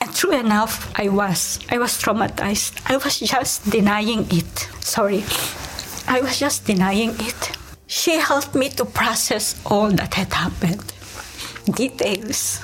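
A woman's fairly high voice at a very slow pace, with ordinary pitch variation, very even loudness and noticeable background noise. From Philippines. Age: 50s. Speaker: missionary nun. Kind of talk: interview testimony. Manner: halting.

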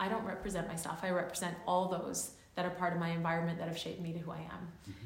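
Someone talks at a fairly quick pace amid noticeable background noise and audible room echo. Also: woman. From New Zealand and Canadian West Coast. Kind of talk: casual interview. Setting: on campus.

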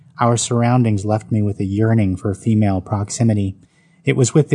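This is an unforced reading voice. Its intonation stays fairly even.

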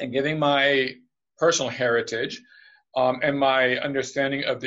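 A man with an ordinary speaking voice and fairly high pitch talks at a moderate pace. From United States, also Puerto Rico, Spain, Portugal. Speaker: international business development executive. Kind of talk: interview.

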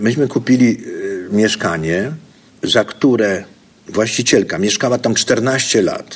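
Against noticeable background noise, a man speaks at medium pitch. His pace is very slow and his intonation lively. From southern Poland, Zakopane and Kraków. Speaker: investor and business educator. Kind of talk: interview. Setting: conference venue.

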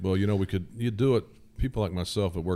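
This is a man with an American accent. His tone is dark and mellow. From southern Indiana. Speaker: firearms industry engineer. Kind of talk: casual interview. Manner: hesitant, many fillers.

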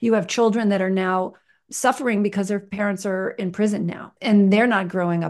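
With a quiet background behind her, a woman of medium pitch speaks at a moderate pace in an unremarkable speaking voice with ordinary pitch variation. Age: 60s. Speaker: nonprofit founder and filmmaker. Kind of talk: interview.

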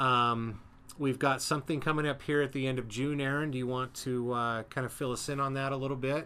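The recording is very clean, with a silent background. The speaker goes at a fairly quick pace, with a bright, sharp tone and monotone, flat intonation. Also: man, medium pitch for a man. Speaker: aviation podcast host. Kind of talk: casual chat. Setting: home studio with window open.

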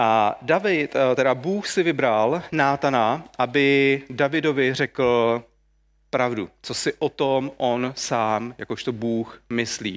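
On a very clean recording with a silent background, the speaker goes very slowly with ordinary pitch variation. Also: man, medium pitch for a man. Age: 40s. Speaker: church leader preaching. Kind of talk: sermon.

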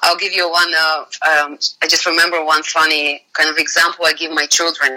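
A woman with a Russian accent speaks at a fairly low pitch. Her pace is fairly quick and her intonation monotone and flat. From Bulgaria. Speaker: finance executive. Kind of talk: casual interview chat.

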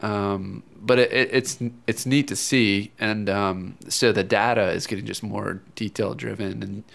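A man with vocal fry talks fairly slowly at a fairly low pitch, his intonation fairly even and hardly any pauses between words. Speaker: running store expert. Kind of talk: casual interview. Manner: relaxed, conversational.

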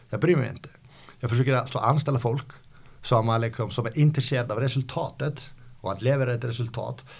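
A man's somewhat breathy, medium-pitched voice at a very fast pace with fairly even intonation, in a very clean recording with a silent background. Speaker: company founder. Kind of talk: interview. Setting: company office. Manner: halting, many repetitions.

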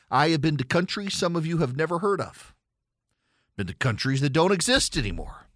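In a Southern US accent, a man speaks with very wide pitch swings. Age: 40s. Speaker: political talk radio host. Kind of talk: call-in talk radio monologue.

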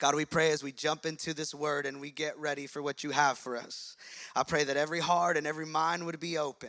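A man's bright, sharp voice, fairly high in pitch and fairly quick, on a very clean recording with a silent background. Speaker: pastor. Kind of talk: sermon. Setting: church. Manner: fast talker; animated.

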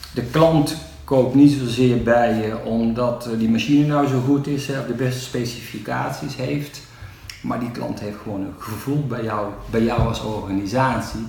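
Speaking at a fairly slow pace with fairly even intonation, a man of medium pitch is heard amid noticeable background noise and audible room echo. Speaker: entrepreneur. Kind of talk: interview. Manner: halting.

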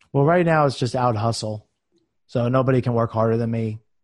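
With an ordinary speaking voice, a man talks at a fairly quick pace and medium pitch with fairly even intonation. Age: 30s. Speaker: real estate business owner. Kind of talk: interview. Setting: remote call. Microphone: good mic.

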